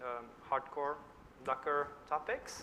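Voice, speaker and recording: A man with a French accent speaks in a bright, sharp tone. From France. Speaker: software engineer, conference speaker. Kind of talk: conference talk. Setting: stage with audience.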